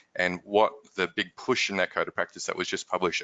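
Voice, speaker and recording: A fairly quick-paced man with an Australian accent. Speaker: company managing director, workplace stress expert. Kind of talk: webinar discussion.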